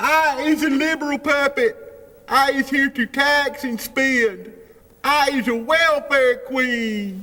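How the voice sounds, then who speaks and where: This is a cartoonish character voice pitched high. It moves at a fairly slow pace. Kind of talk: comedy puppet skit.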